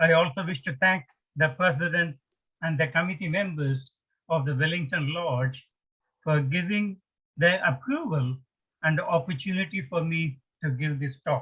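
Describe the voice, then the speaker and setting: Speaking with a strong Indian accent, a man uses a fairly high pitch, ordinary pitch variation, and long, frequent pauses. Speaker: retired engineer, spiritual speaker. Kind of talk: lecture. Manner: slow, deliberate.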